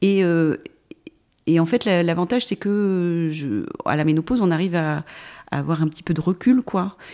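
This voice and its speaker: A dark, mellow tone with long, frequent pauses. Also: woman, fairly low pitch for a woman, ordinary pitch variation, moderate pace. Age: 50s. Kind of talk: interview. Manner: halting.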